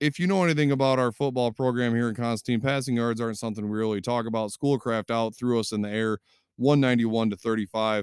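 Speaking very fast with a Michigan accent, a man uses a medium pitch and ordinary pitch variation. The sound is dry and close, with no echo. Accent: Midwestern US (Michigan). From southwest Michigan. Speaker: sports podcast host. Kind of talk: solo sports commentary podcast. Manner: casual, many fillers (um, uh).

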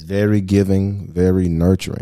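With an American accent, a man speaks in a fairly low pitch, a plain, everyday voice. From United States. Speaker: podcast host. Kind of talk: casual chat. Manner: relaxed, chatty.

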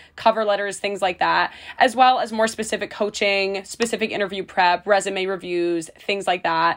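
Using a plain, everyday voice, a woman speaks at a medium pitch and a moderate pace with ordinary pitch variation. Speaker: student podcast co-host. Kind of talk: casual chat.

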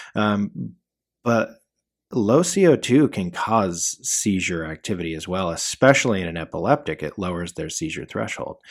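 In an ordinary speaking voice with an American accent, a man talks at a fairly low pitch with lively intonation on a very clean recording with a silent background. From mountain town, US West. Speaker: EMS educator and podcast host. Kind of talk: educational case review monologue. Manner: casual, filler-heavy.

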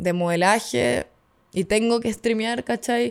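A woman speaks with a Chilean accent, her pitch swinging very widely. The recording is very clean with a silent background. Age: 20s. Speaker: streamer and model. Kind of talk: casual chat.

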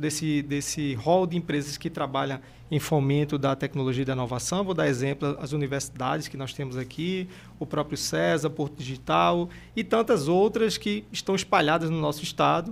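With lively intonation, a man speaks at a moderate pace in a fairly high pitch, an ordinary speaking voice. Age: 40s. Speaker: energy company sales executive. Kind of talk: panel discussion.

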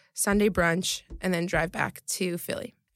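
This woman has a plain, everyday voice at a medium pitch, with fairly even intonation. The recording is very clean, with a silent background. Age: 20s. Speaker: private chef and health coach. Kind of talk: interview, casual chat.

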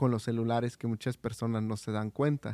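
Recorded with a dry, close sound and no echo, a man talks at a medium pitch in a dark, mellow tone. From Oaxaca, Mexico. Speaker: church volunteer on radio ministry. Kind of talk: casual chat.

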